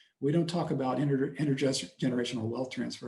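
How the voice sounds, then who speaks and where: A man with an unremarkable speaking voice talks at a fairly quick pace with ordinary pitch variation. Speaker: pastor giving a talk to a church class. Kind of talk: personal presentation in a class.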